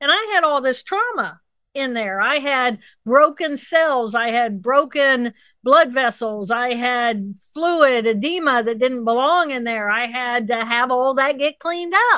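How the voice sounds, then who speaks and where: A woman speaks in a raised, projected voice with a high pitch. Her intonation is lively and her pace fairly slow. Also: quiet background. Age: 60s. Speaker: neuroanatomist. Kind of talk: interview. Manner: animated.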